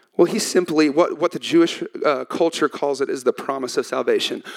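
Recorded with a dry, close sound and no echo, a man with a Texan accent speaks at a moderate pace in an animated tone. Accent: Texan Southern US. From Texas. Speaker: pastor. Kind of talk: sermon. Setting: church stage with audience.

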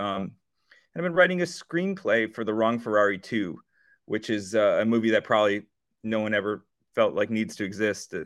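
An unremarkable speaking voice carries lively intonation in a very clean recording with a silent background. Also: man, medium pitch for a man, fairly quick pace. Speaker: musician. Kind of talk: interview.

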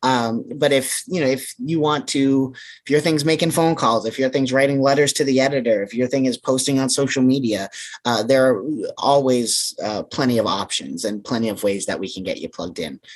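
Speaking fairly quickly with an American accent, a man uses a medium pitch, ordinary pitch variation and an unremarkable speaking voice. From central Massachusetts. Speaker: anti-hunger campaign manager. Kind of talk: interview.

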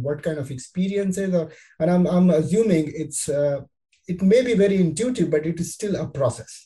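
Talking at a fairly quick pace, a man with a high voice and a dark, mellow tone shows ordinary pitch variation. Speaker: podcast host. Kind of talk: interview conversation; scripted narration. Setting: remote call.

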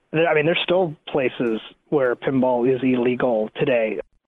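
A man with an American accent and a normal speaking voice, medium in pitch with ordinary pitch variation. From New York. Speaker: pinball association president. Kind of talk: interview.

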